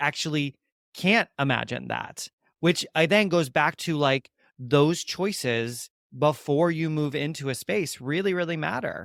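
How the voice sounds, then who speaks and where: Speaking at a moderate pace with ordinary pitch variation, a man uses a normal speaking voice pitched fairly high. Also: dry, close sound with no echo. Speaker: podcast host, former conservatory director. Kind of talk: interview question, conversational.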